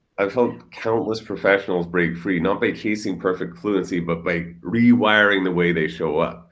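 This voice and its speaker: Ordinary pitch variation and a moderate pace mark a man's speech, with audible echo from the room. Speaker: speech and stuttering coach. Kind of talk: interview. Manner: occasional stutter and repetitions.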